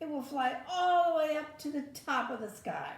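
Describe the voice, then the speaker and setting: A woman puts on a character voice, pitched high, at a moderate pace. There is a slight echo. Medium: read story. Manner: calm, steady.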